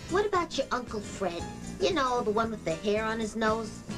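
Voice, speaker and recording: Clear music plays in the background as a woman talks at a moderate pace. Her pitch is fairly high and her intonation lively. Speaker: TV host. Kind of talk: comedic TV promo read. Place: home room.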